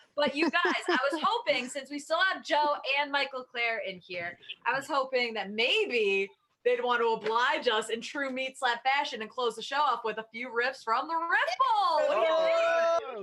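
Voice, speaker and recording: A woman with an American accent speaks in a high, raised, projected voice. Her tone is bright and sharp, and her intonation lively. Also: moderate pace. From New York. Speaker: comedy show co-host. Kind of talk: casual comedy banter. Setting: video call.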